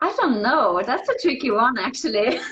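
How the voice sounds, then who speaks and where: At a moderate pace, a woman speaks in a German accent. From Austria, Vienna. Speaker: ballet dancer. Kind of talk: casual interview.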